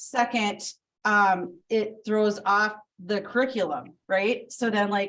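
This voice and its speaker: The woman's intonation is fairly even as she talks. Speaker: preschool coordinator presenting to school board. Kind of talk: public meeting presentation. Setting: school board meeting room. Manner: loud; hesitant, many fillers.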